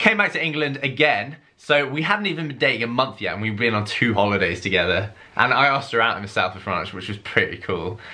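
Talking at a very fast pace, a man uses lively intonation. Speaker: vlogger. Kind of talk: casual vlog chat. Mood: cheerful, laughing storytelling. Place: home room. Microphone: camera far.

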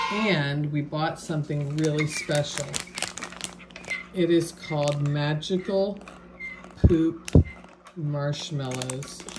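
Over loud background noise, a woman speaks at a very slow pace with long, frequent pauses. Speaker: family member filming a taste test. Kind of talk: casual narration to camera. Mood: playful, amused. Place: home room. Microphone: phone near.

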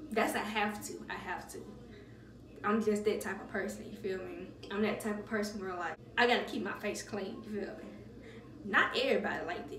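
Noticeable background noise sits behind a woman talking at a fairly quick pace. Her intonation stays fairly even. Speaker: beauty vlogger. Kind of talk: casual vlog chat. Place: bathroom. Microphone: phone near.

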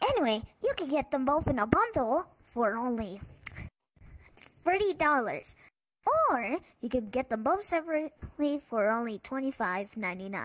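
A put-on character voice, female-sounding and high, at a fairly slow pace with long, frequent pauses. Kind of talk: parody TV commercial. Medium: game stream.

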